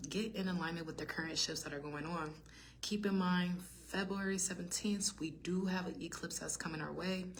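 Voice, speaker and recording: A woman with a fairly low pitch talks at a fairly quick pace in a monotone, flat intonation. Audible room echo and noticeable background noise are present. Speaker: tarot reader. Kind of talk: tarot reading monologue. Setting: study hall. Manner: fast; halting.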